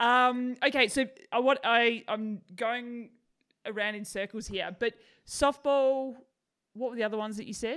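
A woman with an Australian accent speaks at a moderate pace with fairly even intonation. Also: fairly high pitch for a woman. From Australia (Tasmania). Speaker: podcast host. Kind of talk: interview. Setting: video call. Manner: laughing, sarcastic tone.

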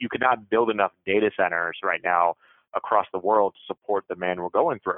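The pace is fairly quick, with ordinary pitch variation. It is a normal speaking voice. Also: man, fairly low pitch for a man. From US South, Jacksonville, Florida. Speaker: recruiting manager, military veteran. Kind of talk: interview.

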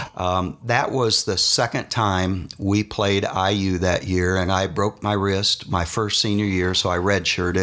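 In an American accent, a man speaks at a fairly slow pace with fairly even intonation and a fairly low pitch. His is an ordinary speaking voice. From Indiana, Muncie area. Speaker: former college basketball player. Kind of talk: interview storytelling.

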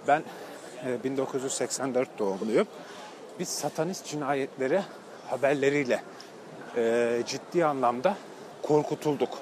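Over noticeable background noise, a man with a fairly high voice speaks very slowly, leaving long, frequent pauses, with ordinary pitch variation. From Turkey, outside Istanbul. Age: 30s. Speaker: podcast host. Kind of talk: walking monologue vlog-style. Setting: outdoors and on public transport.

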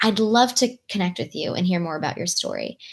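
On a very clean recording with a silent background, a woman speaks at a medium pitch and moderate pace with lively intonation. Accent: Californian. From Southern California (Long Beach, LA). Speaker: nonprofit founder. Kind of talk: interview podcast. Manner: animated.

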